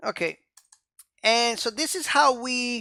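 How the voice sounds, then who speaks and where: A speaker with a non-native accent, recorded very cleanly against a silent background. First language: not English. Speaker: programming instructor. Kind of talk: tutorial. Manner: casual, frequent fillers like um and okay.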